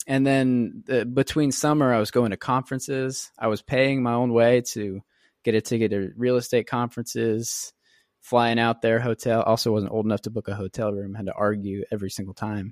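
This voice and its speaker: A man's ordinary speaking voice at medium pitch, fairly quick with fairly even intonation, dry and close with no echo, on a very clean recording with a silent background. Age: 20s. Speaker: real estate investor. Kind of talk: interview. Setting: podcast.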